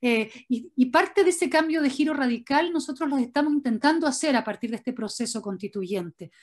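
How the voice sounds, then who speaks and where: Against a quiet background, a woman with a high pitch talks at a fairly quick pace with hardly any pauses and lively intonation. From Chile. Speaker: writer; interviewee. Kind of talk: interview. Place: home room. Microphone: video call.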